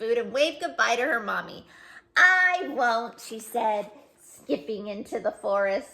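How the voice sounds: The speaker uses a natural reading voice. That voice holds from start to finish.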